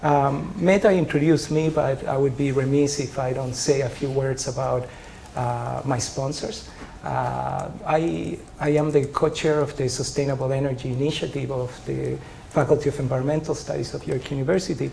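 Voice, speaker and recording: A man with a Spanish accent talks at a moderate pace and fairly high pitch, with ordinary pitch variation. Noticeable background noise and audible room echo fill the recording. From Chile. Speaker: professor. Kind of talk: lecture. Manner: hesitant, many filler sounds.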